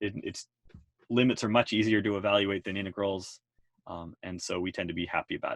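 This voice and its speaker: A normal speaking voice from a man, fairly low in pitch, fairly quick, with fairly even intonation and a dry, close sound with no echo. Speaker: math teacher. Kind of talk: lecture.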